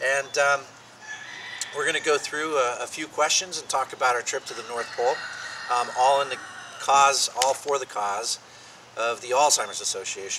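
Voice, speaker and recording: A man speaks at a moderate pace with long, frequent pauses, and there is noticeable background noise. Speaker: interviewer. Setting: outdoors.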